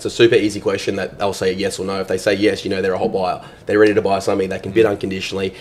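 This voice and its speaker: A man speaks very fast while noticeable background noise goes on. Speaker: auctioneer and real estate sales agent. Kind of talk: interview answer.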